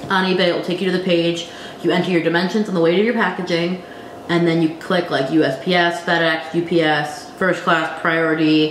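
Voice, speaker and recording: Speech comes at a fairly quick pace, with audible room echo and noticeable background noise. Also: woman. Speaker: online reseller and YouTuber. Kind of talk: casual vlog tutorial.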